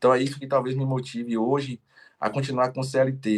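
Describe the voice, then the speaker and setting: This man talks at a medium pitch. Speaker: entrepreneur and strawberry seller. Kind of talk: podcast interview. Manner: fast.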